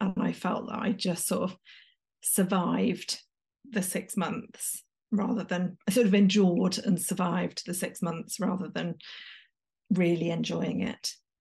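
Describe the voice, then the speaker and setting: A woman with an English accent speaks fairly slowly at medium pitch, her intonation fairly even. Vocal fry runs through her voice. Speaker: executive coach. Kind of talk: interview conversation.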